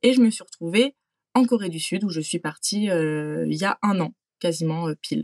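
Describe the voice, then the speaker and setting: An ordinary speaking voice moves at a moderate pace with lively intonation. The sound is dry and close, with no echo. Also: woman, fairly low pitch for a woman. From France. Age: 20s. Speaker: working holiday traveler. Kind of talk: interview testimony.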